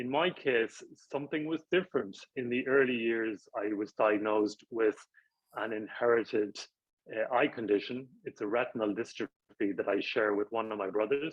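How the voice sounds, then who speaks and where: A man's medium pitch and ordinary pitch variation at a moderate pace, with an Irish accent. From rural Ireland. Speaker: professor. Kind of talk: interview.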